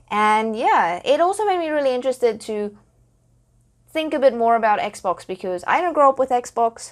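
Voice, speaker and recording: With a South African accent, a woman speaks in lively intonation. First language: Afrikaans. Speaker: podcaster and gaming content creator. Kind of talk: solo podcast talk.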